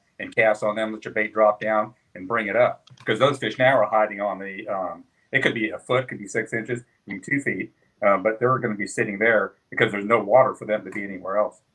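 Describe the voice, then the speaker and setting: A man talks in a normal speaking voice, fairly low in pitch and at a fairly quick pace. His intonation stays fairly even while his loudness swings widely. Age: 60s. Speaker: kayak angler. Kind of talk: casual chat.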